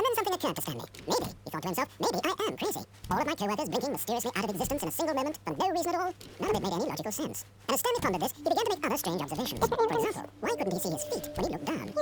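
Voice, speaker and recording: A put-on character voice rattles along at a very fast pace and high pitch over clear background noise. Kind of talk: storybook narration. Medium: video game. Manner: measured, dry, ironic.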